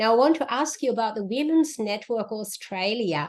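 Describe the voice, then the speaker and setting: Lively intonation carries this speaker with a non-native accent along at a moderate pace. The background is quiet. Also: woman. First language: not English. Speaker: interviewer, network ambassador. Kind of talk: interview. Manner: halting.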